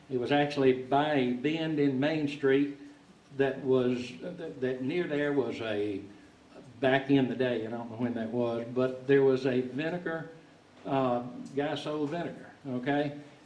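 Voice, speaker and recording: A man speaks with a Southern US accent and fairly even intonation. Audible room echo and noticeable background noise fill the recording. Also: medium pitch for a man, fairly slow pace. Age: 60s. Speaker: musician telling a story. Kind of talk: storytelling to an audience. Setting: stage in a log concert hall with audience. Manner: halting, with many repeated words.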